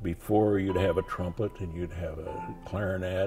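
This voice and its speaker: Music plays in the background as a man with an American accent speaks at a moderate pace. His pitch is fairly low and his intonation fairly even. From Nebraska, USA. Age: 80s+. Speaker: war veteran. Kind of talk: interview answer.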